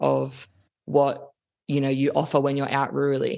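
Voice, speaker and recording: A woman speaks with an Australian accent at a moderate pace. Her pitch is very deep and low. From Sydney, Australia. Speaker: occupational therapist, rural practitioner and podcaster. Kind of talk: casual chat. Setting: video call.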